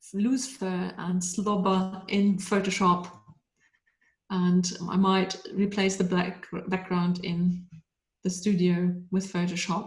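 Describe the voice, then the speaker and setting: A woman speaks very slowly in a flat, monotone way, with audible echo from the room. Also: medium pitch for a woman. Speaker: pet photographer. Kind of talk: webinar talk.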